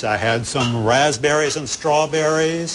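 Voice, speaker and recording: Audible room echo and noticeable background noise surround a man speaking at a very slow pace. His medium pitch shows ordinary variation. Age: 60s. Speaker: calorie restriction practitioner. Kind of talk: interview.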